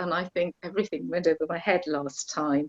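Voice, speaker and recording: A woman with a Welsh accent talks at a moderate pace in a fairly low pitch and fairly even intonation, captured with a dry, close sound with no echo. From Wales. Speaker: course participant. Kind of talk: casual chat. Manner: halting.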